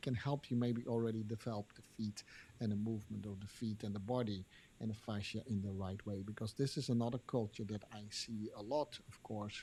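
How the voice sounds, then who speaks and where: With a dark, mellow tone and a somewhat breathy quality, a man speaks at a moderate pace with fairly even intonation. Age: 60s. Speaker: podcast host and dance teacher. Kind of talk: interview. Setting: live stream. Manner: halting.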